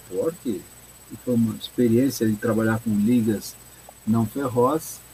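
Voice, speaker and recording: With noticeable background noise behind him, a man speaks at a moderate pace and a medium pitch. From Brazil, São Paulo city. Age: 70s. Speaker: mechanical engineer and consultant. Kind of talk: interview. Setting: live stream.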